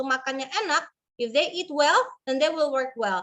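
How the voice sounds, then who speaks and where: A very fast, raised and projected voice with a bright, sharp tone comes through. Its pitch varies in an ordinary way over a quiet background. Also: woman. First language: Indonesian. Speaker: webinar host. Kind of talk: moderating webinar with translation.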